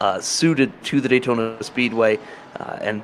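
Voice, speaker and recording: There is noticeable background noise as a man speaks at a medium pitch. He has an American accent and a moderate pace. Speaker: sim racing commentator. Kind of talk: live commentary.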